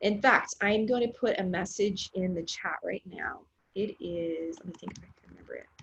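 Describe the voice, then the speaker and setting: Speaking at a moderate pace, a woman has an unremarkable speaking voice of medium pitch with ordinary pitch variation and big swings in loudness. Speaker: music teacher. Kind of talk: online class lecture.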